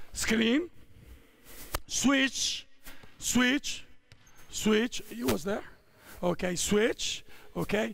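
A man shouting at a very slow pace with long, frequent pauses, the sound dry with no echo. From Italy. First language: Italian. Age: 50s. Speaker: basketball coach. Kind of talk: coaching clinic. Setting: basketball court with players. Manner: shouted on-court commands. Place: hall.

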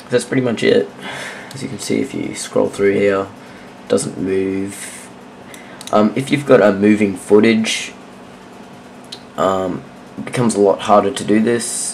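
Amid noticeable background noise, a man with a fairly low pitch and ordinary pitch variation speaks with big swings in loudness and long, frequent pauses. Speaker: video editing tutorial maker. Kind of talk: screen-recorded software tutorial. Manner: casual, hesitant, many fillers.

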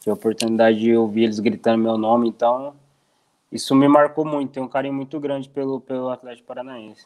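A man with a medium-pitched voice delivers his words very fast, his intonation fairly even. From Brazil, interior of Paraná. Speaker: professional footballer. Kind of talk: interview. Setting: video call. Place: home room. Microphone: earbuds.

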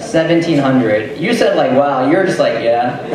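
Over noticeable background noise and audible room echo, a man talks at a fairly high pitch. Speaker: stand-up comedian. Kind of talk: stand-up comedy set, crowd banter and jokes. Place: bar. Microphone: camera far.

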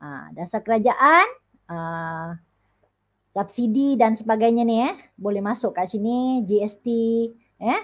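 A woman with a fairly high pitch speaks very slowly, using long, frequent pauses. Her intonation is lively and her loudness swings widely. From Sabah, Malaysia. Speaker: secondary school teacher. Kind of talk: online tutoring lesson.

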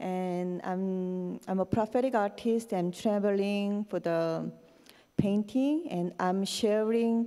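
Speaking very slowly with a Korean accent, a woman has a dark, mellow tone and ordinary pitch variation against a quiet background. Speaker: prophetic artist; conference guest. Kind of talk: interview. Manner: halting. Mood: earnest, slightly hesitant. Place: church. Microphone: handheld.

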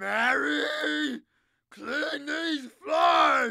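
A raised, shouting put-on character voice with a bright, sharp tone, lively intonation and vocal fry

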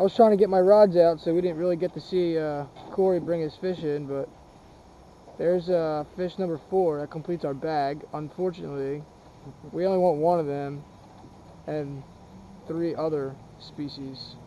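A man with a dark, mellow tone talks at a moderate pace with fairly even intonation and long, frequent pauses, in a dry sound with no echo and light background noise. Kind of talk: casual fishing commentary. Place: boat. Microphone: phone near.

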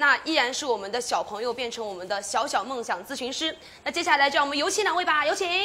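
A woman's raised, projected, high voice, very fast, with very wide pitch swings. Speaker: event host. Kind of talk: live-stream hosting. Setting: outdoor tent on the Great Wall. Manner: lively, teasing. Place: studio. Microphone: lapel.

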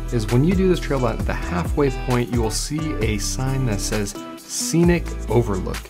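A man speaks at a moderate pace. Clear music can be heard behind him. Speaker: hiking channel host. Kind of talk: trail review talk to camera. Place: studio.

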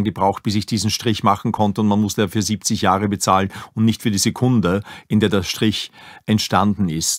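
Recorded dry and close with no echo on a very clean recording with a silent background, a man with an ordinary speaking voice talks at a moderate pace in a fairly low pitch. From Upper Austria, Linz. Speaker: museum director. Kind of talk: interview.

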